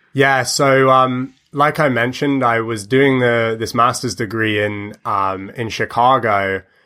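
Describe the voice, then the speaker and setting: With a bright, sharp tone and a medium pitch, a man speaks at a fairly slow pace with fairly even intonation and hardly any pauses, on a very clean recording against a silent background. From United Kingdom. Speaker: musician. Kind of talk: interview. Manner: hesitant, many fillers.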